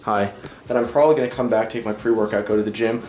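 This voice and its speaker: A man speaks with fairly even intonation. There is audible room echo and noticeable background noise. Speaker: fitness vlogger. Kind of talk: casual vlog talk. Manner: fast. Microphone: camera mic, poor audio.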